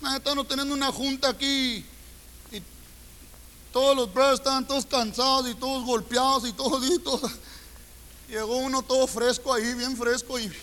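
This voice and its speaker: With long, frequent pauses, a man speaks at an extremely high pitch. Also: moderate pace. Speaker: preacher. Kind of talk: sermon. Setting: church. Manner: animated; colloquial, humorous, confrontational.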